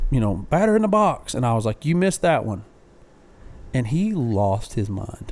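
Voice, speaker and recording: A loud, animated man's voice at medium pitch and moderate pace, with very wide pitch swings. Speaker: podcast co-host. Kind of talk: casual chat.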